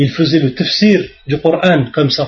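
Fairly even intonation in a somewhat breathy male voice. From France, suburbs. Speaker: Islamic preacher. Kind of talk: religious lecture. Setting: mosque.

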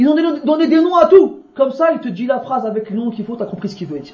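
Very fast and with lively intonation, a man speaks at an extremely high pitch. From France. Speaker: Islamic religious teacher. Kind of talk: religious lecture.

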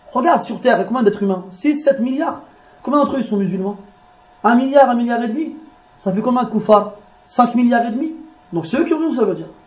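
A man with an extremely high pitch talks at a fairly quick pace with ordinary pitch variation and long, frequent pauses, with audible room echo and noticeable background noise. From France. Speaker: Islamic preacher. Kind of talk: religious lecture. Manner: informal, conversational asides.

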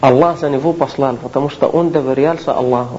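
A man with an Arabic accent speaks at a fairly high pitch with fairly even intonation. Audible room echo and noticeable background noise surround him. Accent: Arabic accent in Russian. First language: Arabic (speaking Russian). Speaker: Islamic lecturer. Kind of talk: lecture. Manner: halting.

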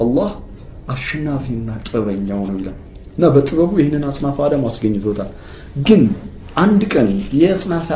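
Lively intonation marks this man's fairly high voice. Noticeable background noise and audible room echo fill the recording. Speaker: Islamic religious program presenter. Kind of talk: religious lecture.

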